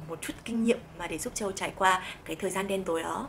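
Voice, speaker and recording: Here a woman speaks at a fairly quick pace. Her pitch is medium, with ordinary variation. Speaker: vlogger. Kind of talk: vlog advice talk. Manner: animated.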